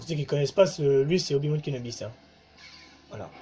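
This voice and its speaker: Background music accompanies a man who keeps a moderate pace. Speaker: gaming YouTuber. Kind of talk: let's play commentary. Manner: halting.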